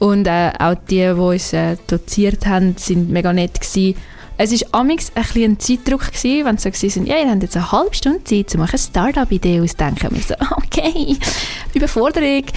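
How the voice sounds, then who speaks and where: The speaker moves at a fairly quick pace, the pitch swinging very widely while the loudness stays very even. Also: woman, fairly high pitch for a woman. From Switzerland, Aargau / Zurich. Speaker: university student. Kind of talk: radio interview. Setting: radio studio.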